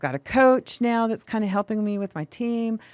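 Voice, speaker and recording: Recorded very cleanly against a silent background, a woman with a fairly high pitch talks at a fairly quick pace in an ordinary speaking voice. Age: 60s. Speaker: mortgage broker and business owner. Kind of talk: casual interview. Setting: studio.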